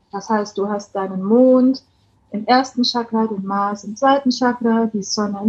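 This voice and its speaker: Her voice sits fairly high, and its pitch varies in an ordinary way. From Bavaria, Germany. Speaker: coach. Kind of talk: casual chat.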